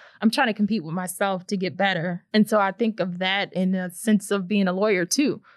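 With an American accent, a woman at medium pitch speaks at a fairly quick pace with hardly any pauses and fairly even intonation. The sound is dry and close with no echo, in a very clean recording over a silent background. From St. Louis, Missouri. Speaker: lawyer. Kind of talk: interview.

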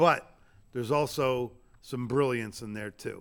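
On a very clean recording with a silent background, a man with an American accent speaks at medium pitch with ordinary pitch variation. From Florida. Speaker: touring stand-up comedian. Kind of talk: casual chat. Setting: empty comedy club showroom. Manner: preacher-like, emphatic.

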